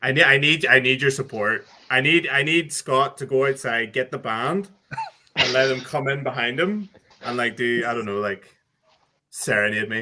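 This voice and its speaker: With an Irish accent, a man speaks at a medium pitch and a moderate pace, using ordinary pitch variation. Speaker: podcast co-host. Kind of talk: casual chat.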